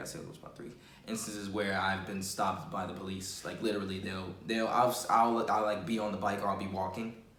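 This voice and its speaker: Against noticeable background noise, a man in a New York accent talks at a fairly quick pace with a fairly low pitch. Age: young. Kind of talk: personal testimony to camera. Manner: casual, conversational.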